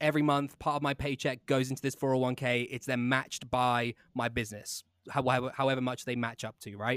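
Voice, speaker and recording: Speaking fairly quickly in a flat monotone with an English accent, a man comes through in a dry, close sound with no echo on a very clean recording with a silent background. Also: medium pitch for a man, hardly any pauses. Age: 20s. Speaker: podcast host. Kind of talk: casual interview chat.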